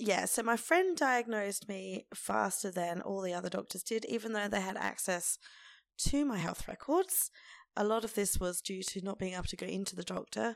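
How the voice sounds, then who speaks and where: There's an Australian accent as a woman talks at a moderate pace. The recording is very clean with a silent background. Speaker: podcast host. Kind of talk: casual monologue.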